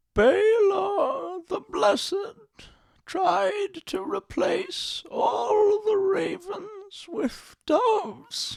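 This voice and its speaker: At a very slow pace, a man talks in a put-on character voice pitched extremely high. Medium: read story. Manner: slow, measured, unhurried.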